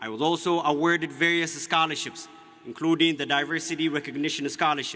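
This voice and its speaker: Over noticeable background noise, a man with an Ethiopian accent speaks fairly quickly in a fairly high, monotone, flat voice. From Ethiopia (Oromia). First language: Oromo. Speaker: student commencement speaker. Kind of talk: commencement speech. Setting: graduation ceremony with audience. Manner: formal.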